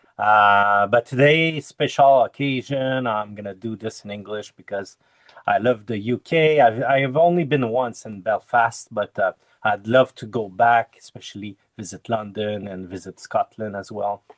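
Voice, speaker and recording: In a Quebec accent, a man talks at a moderate pace, medium in pitch with ordinary pitch variation and big swings in loudness. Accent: French Canadian accent in English. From Quebec, French Canada. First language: French. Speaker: Agile coach and Kanban trainer. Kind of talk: conference talk over video call. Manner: halting, many fillers.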